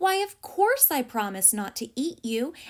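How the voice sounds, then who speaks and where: Using a put-on character voice, a woman speaks at a moderate pace with a high pitch that swings very widely. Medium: read story. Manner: eager, persistent.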